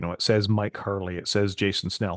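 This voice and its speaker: Against a quiet background, a man speaks in a Scottish accent at a fairly low pitch. He talks at a fairly quick pace with fairly even intonation. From Scotland. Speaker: podcast co-host. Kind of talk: casual tech discussion.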